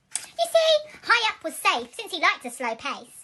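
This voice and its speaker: A woman puts on a squeaky character voice with an extremely high pitch. She moves at a moderate pace, her pitch swinging very widely. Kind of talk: bedtime story. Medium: read story. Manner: warm, rhythmic, rhyming.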